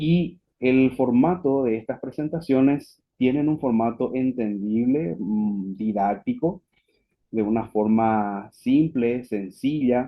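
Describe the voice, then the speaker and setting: A man with a Paraguayan accent speaks very slowly at medium pitch, with ordinary pitch variation. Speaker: physician, webinar speaker. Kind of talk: lecture. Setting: online webinar.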